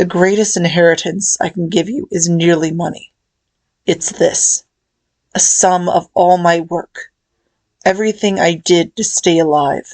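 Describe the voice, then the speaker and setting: A woman's put-on character voice, raspy and fairly low-pitched, with fairly even intonation at a moderate pace. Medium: read story. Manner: cold, grave, commanding.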